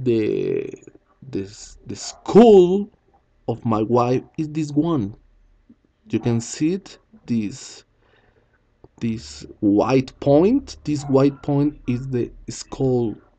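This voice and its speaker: In a Spanish accent, a dark, mellow voice with lively intonation moves at a very slow pace with long, frequent pauses. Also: man, medium pitch for a man. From Colombia. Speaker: teacher. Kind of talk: video explanation. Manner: halting.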